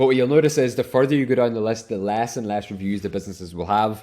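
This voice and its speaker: A man speaks in an Irish accent. His pitch is fairly low. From Ireland. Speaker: online business coach, software reseller. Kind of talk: tutorial.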